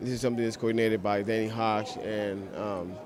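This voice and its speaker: With crowd noise in the background and audible room echo, a man speaks in fairly even intonation. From Cuba. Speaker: hip hop producer. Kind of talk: interview.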